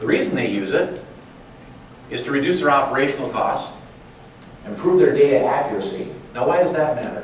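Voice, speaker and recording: Audible room echo and noticeable background noise surround a man's voice. He talks at a fairly quick pace, with long, frequent pauses. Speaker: sales representative presenting at a conference. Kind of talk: conference presentation. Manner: fast.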